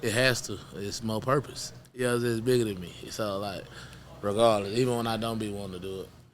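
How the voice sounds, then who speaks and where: With an American accent and a fairly low pitch, a man talks fairly quickly with fairly even intonation amid audible room echo. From Houston, Texas. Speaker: rapper. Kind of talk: interview.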